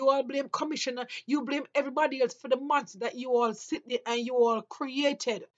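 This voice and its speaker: At a moderate pace, a woman with a Jamaican accent talks in a high voice. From Jamaica, rural St Mary. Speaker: vlogger. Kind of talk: opinion monologue. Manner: impassioned.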